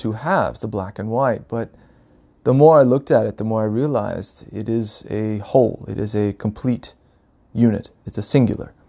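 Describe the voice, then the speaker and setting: A man's medium-pitched voice moves at a moderate pace, its pitch rising and falling in an ordinary way. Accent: American. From US South, North Carolina. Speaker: podcaster, spiritual storyteller. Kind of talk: reflective solo monologue. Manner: halting, many fillers.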